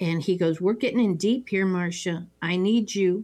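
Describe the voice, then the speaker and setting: This is an unremarkable speaking voice from a woman, medium in pitch with ordinary pitch variation, at a fairly slow pace. The recording is very clean, with a silent background. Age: 60s. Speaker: podcast host. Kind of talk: casual chat. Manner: chatty, jokey.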